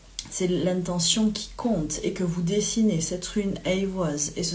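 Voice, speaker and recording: Through audible room echo and noticeable background noise, a woman with a fairly low pitch speaks fairly slowly with fairly even intonation. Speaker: medium and spiritual guide. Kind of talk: live spiritual guidance talk. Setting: livestream from home. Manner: hesitant, many fillers.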